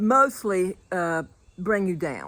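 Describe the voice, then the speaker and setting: The intonation is lively, and the recording is very clean with a silent background. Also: woman. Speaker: motivational speaker. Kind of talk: casual motivational talk to camera. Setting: outdoors.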